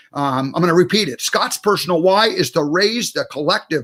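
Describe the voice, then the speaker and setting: A man speaks with lively intonation. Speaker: talk show host. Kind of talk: interview. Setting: live broadcast. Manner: halting.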